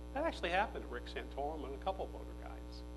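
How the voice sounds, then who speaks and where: There is audible room echo as a man speaks. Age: 60s. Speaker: political speaker and former philosophy professor. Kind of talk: conference speech. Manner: animated.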